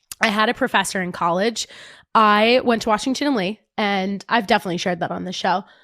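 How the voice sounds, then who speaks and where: With a New Jersey accent, a woman speaks fairly quickly at medium pitch in a bright, sharp tone. Her intonation is fairly even, and the sound is dry and close with no echo. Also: very clean recording, silent background. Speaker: fitness podcast host. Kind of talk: casual chat.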